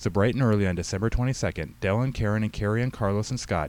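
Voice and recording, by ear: Reading aloud in a natural voice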